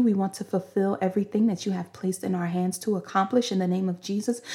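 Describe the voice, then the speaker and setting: Over a silent background in a very clean recording, a woman with a medium-pitched, dark, mellow and somewhat breathy voice talks very fast with fairly even intonation. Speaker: podcast host and preacher. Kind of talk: fervent prayer and prophetic preaching. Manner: impassioned, rhythmic, praise-filled delivery with repeated hallelujahs; earnest, exhortative, speaking as if by divine inspiration.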